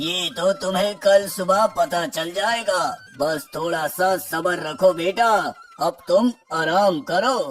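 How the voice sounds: With faint music in the background, a man puts on a high-pitched, cartoonish character voice, speaking at a fairly slow pace with ordinary pitch variation.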